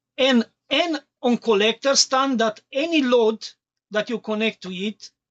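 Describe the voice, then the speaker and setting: The delivery is fairly slow. It comes with a non-native accent. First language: not English. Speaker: electronics streamer. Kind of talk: live tutorial. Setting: live stream.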